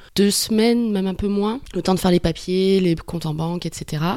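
Fairly even intonation in a woman's dark, mellow tone. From New Caledonia. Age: 30s. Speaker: working holiday backpacker, farm worker. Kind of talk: interview.

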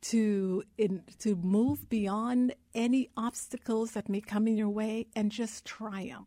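A woman at a fairly high pitch, somewhat breathy with a dark, mellow tone, at a fairly slow pace, in a very clean recording with a silent background. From Guyana. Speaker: investment advisor. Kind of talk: radio interview. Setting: live radio on campus.

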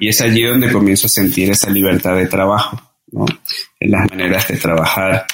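Using fairly even intonation, a man talks at a fairly quick pace and a fairly low pitch. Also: very even loudness. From Venezuela (Caracas, Margarita, Mérida). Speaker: breathing and cold-exposure workshop instructor. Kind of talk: interview conversation. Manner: halting, frequent repetitions and fillers.

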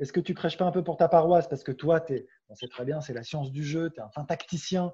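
Against a quiet background, a man talks at a fairly quick pace and fairly high pitch, somewhat breathy, in a dark, mellow tone with ordinary pitch variation. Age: 30s. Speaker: sports journalist. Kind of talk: interview. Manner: hesitant.

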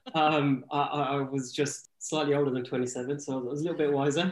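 A man with an English accent speaks at a moderate pace and a fairly high pitch, in monotone, flat intonation against a quiet background. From England. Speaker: product manager, e-commerce guest. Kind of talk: casual podcast interview. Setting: Sydney, Australia.

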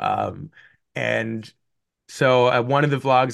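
A man with a Canadian accent, medium pitch, a bright, sharp tone and ordinary pitch variation, over a quiet background. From Canada. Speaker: YouTuber and video editor. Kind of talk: casual interview chat. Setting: video call.

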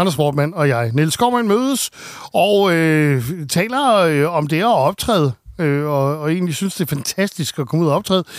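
A plain, everyday voice from a man, fairly high-pitched, with lively intonation. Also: fairly slow pace, very clean recording, silent background. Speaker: radio host. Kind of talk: casual chat.

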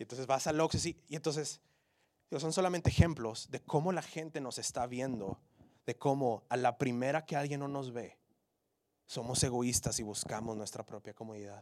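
In a very clean recording with a silent background, a man with an ordinary speaking voice talks at a moderate pace and medium pitch, with ordinary pitch variation and big swings in loudness. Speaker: preacher. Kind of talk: sermon. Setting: church. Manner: earnest, urgent, exhortative; direct, pleading with the congregation.

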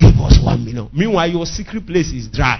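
A man speaks with a strong Nigerian accent in an animated tone. Noticeable background noise is present. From Nigeria, Igbo area (Nnewi). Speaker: pastor. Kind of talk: sermon. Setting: church.

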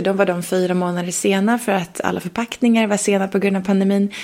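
A woman at medium pitch talks at a fairly quick pace with fairly even intonation, noticeable noise behind her. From Sweden, Leksand (Dalarna). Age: 30s. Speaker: entrepreneur and investor. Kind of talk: interview.

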